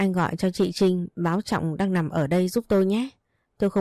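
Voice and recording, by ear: With fairly even intonation and a quiet background, the voice is reading aloud in a natural voice.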